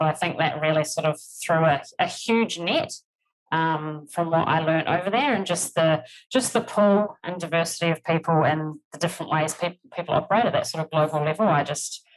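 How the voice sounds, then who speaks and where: In a New Zealand accent, a woman with a fairly low pitch speaks at a fairly quick pace with fairly even intonation. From New Zealand, rural. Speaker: HR executive. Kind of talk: podcast interview.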